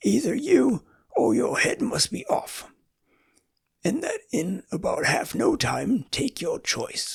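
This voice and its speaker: Fairly slow pace in a raspy, put-on character voice. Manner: angry, shouting.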